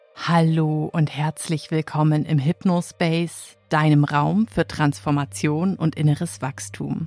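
Amid noticeable background noise, a woman with a very deep, low pitch and ordinary pitch variation talks at a very slow pace with hardly any pauses, in a dry, close sound with no echo. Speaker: hypnotherapist. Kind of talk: guided hypnosis trance induction. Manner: slow, soothing, calm; gentle, hypnotic, drawn-out phrasing.

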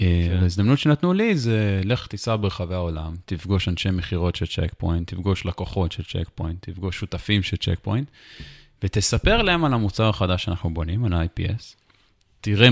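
Recorded dry and close with no echo, a man has a normal speaking voice, fairly low in pitch, with ordinary pitch variation at a moderate pace. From Israel, Jerusalem. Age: 30s. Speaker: tech startup founder and CEO. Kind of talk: interview.

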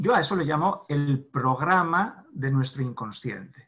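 Here a man speaks at a medium pitch. His pace is very slow. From Spain, Navarre (Pamplona). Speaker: therapist. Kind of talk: interview. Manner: halting.

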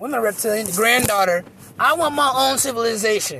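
A man's raised, projected voice at a very fast pace, full of lively intonation. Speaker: podcaster. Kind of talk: casual rambling monologue. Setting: in a car. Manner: casual, profane, rambling.

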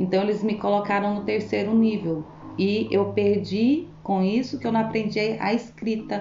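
A woman's medium-pitched voice comes through with audible room echo around it. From Brazil, Goiânia. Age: 40s. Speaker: cleaner. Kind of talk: interview.

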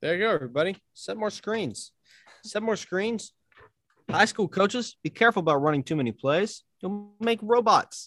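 With lively intonation and a moderate pace, a man speaks in a high voice over a dry, close sound with no echo. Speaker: podcast host. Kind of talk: casual interview chat.

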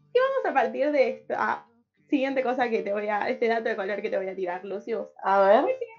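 Fairly quick speech comes from a woman. She has a fairly high pitch that varies in an ordinary way. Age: 20s. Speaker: radio host. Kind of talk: casual chat.

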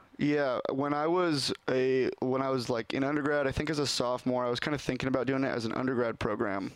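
A man talks at a very fast pace with hardly any pauses, very even loudness and fairly even intonation. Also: medium pitch for a man. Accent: American. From Oregon, Portland area. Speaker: athletic trainer. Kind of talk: casual chat.

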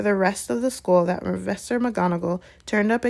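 Reading in a natural voice.

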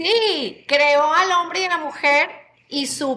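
She uses a raised, projected voice. Her pitch is high for a woman. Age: 50s. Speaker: mother of a podcast host. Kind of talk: casual chat. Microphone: hears own voice echoing.

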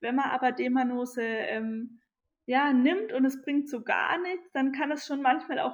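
High-pitched, a woman talks with ordinary pitch variation. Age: 20s. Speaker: nutritionist and naturopath. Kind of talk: interview conversation. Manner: hesitant, many filler sounds.

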